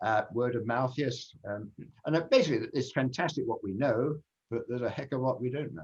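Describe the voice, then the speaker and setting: Speaking fairly quickly in a southern English accent, the man has a medium pitch, ordinary pitch variation and a somewhat breathy voice. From England, Kent. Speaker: genealogy speaker. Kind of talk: Q&A after talk.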